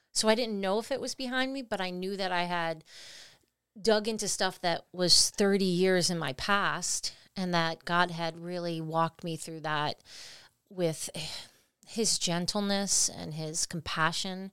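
A woman's plain, everyday voice at medium pitch, fairly slow pace, and ordinary pitch variation, on a very clean recording with a silent background. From Italian-American family, US. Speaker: podcast co-host. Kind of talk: casual chat.

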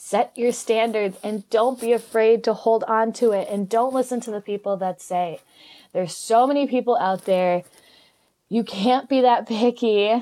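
On a very clean recording with a silent background, a woman speaks at a fairly high pitch with a dark, mellow tone. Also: moderate pace. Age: 20s. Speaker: podcast host and fitness coach. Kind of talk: reading aloud. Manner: animated.

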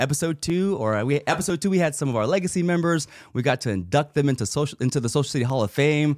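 On a very clean recording with a silent background, a man with a fairly high pitch races along at a very fast pace with hardly any pauses, very even loudness and lively intonation. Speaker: podcast host. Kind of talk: casual chat. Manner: hype announcer patter, loud, crowd-pumping, rapid-fire.

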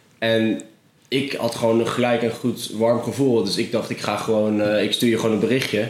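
A man talks in a flat monotone at a medium pitch and moderate pace. Noticeable background noise can be heard. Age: 20s. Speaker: freelance filmmaker. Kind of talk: casual interview. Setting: office in canal house.

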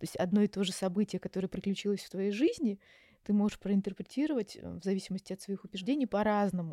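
A woman talks at a very fast pace with a medium pitch and a dark, mellow tone. Her pitch varies in an ordinary way, on a very clean recording with a silent background and a dry, close sound with no echo. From Russia, Yaroslavl. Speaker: psychologist. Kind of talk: interview. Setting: Istanbul recording.

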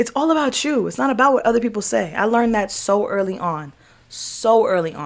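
Speaking at a fairly quick pace, a woman with a fairly high pitch and vocal fry makes very wide pitch swings. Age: 20s. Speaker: podcast host.

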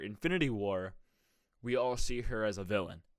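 Recorded very cleanly against a silent background, a man speaks at a moderate pace in a fairly low voice. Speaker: solo podcast host. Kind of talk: casual solo talk. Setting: home recording setup. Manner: animated.

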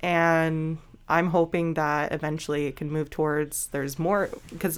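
A woman with a very deep, low pitch at a moderate pace. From British Columbia, Canada. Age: 20s. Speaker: welder. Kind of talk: casual interview.

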